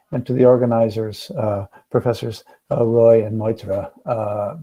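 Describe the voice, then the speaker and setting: Intonation is fairly even. A non-native accent comes through. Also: man. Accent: non-Indian English accent, noted by speaker. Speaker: academic speaker at webinar. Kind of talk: lecture. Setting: video call. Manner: hesitant, many fillers and repeats.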